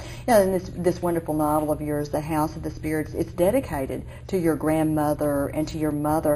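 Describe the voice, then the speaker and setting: Speaking at a moderate pace with an Oklahoma accent, a woman is heard over noticeable background noise. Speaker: interviewer. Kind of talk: interview.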